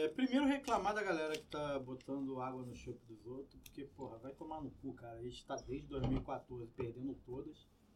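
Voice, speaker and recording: With big swings in loudness, a man speaks at a moderate pace. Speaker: podcast co-host and teacher. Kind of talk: casual chat. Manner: speaking quietly today.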